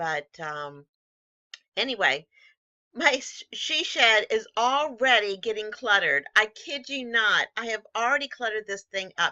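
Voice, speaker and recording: Pitched fairly high, a woman talks at a fairly slow pace with very wide pitch swings and big swings in loudness. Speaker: reseller vlogger. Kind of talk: casual vlog. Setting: in her she shed.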